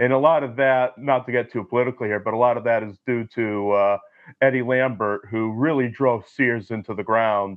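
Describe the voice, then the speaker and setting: An ordinary speaking voice goes at a fairly quick pace with fairly even intonation. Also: man, medium pitch for a man. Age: 20s. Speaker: film historian. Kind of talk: casual chat.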